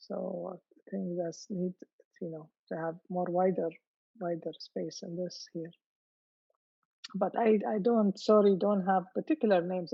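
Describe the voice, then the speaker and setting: In an Arabic accent, a woman talks at a fairly slow pace. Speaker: poet. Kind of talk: panel discussion. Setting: video call. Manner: halting.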